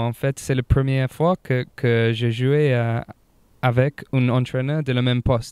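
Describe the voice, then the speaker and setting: Very slow and monotone, with flat intonation, a man of medium pitch speaks with a slight English accent in a dry, close sound with no echo. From England. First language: English (speaking French). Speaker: rugby player. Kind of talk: interview. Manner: halting, many hesitations.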